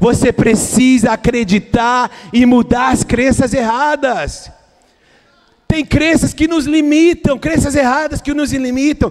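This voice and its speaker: With ordinary pitch variation, the words come at a very slow pace. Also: man, extremely high pitch for a man. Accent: Brazilian. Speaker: pastor. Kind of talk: sermon. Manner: halting, repeats words.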